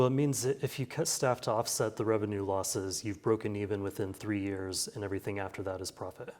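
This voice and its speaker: Talking at a very fast pace with hardly any pauses, a man with an American accent speaks at a fairly low pitch. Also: ordinary pitch variation. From rural Kansas. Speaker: newspaper editor. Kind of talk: interview answer. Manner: conversational.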